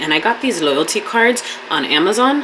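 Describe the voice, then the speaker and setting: This woman's fairly low voice moves at a moderate speed with noticeable background noise behind it. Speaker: esthetician and vlogger. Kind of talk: casual vlog talk. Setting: home studio.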